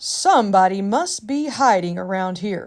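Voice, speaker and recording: In a put-on character voice, a woman talks at a moderate pace and medium pitch with lively intonation, on a very clean recording with a silent background. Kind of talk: bedtime story. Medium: read story.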